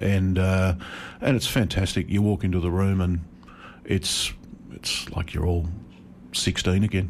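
Fairly slow speech with an Australian accent and long, frequent pauses. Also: man, very deep, low pitch for a man. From regional Victoria, Australia. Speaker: journalist. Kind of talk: radio interview. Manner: hesitant, many fillers.

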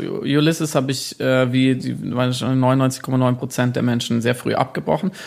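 A man's voice at a medium pitch. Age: 30s. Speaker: author and journalist. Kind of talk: interview. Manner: halting, many fillers.

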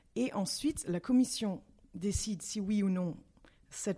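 In a very clean recording with a silent background, a woman speaks at a fairly slow pace with medium pitch, lively intonation, a dark, mellow tone and a somewhat breathy quality. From Belgium, Brussels. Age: 30s. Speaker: parliamentary assistant and former start-up founder. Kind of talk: interview. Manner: halting.

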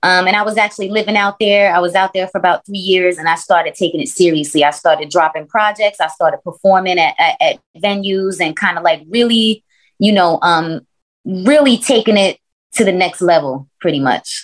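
In an unremarkable speaking voice with an American accent, a woman talks at a fairly quick pace, medium in pitch, with ordinary pitch variation. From US Northeast, Brooklyn. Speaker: rapper. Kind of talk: casual interview.

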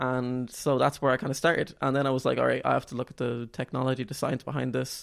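Talking very fast with hardly any pauses, a man with an Irish accent holds a medium pitch in flat, monotone intonation. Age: 20s. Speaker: student and novelist. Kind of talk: interview.

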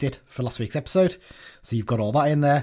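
A somewhat breathy man at a very fast pace. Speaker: podcast host. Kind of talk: casual chat.

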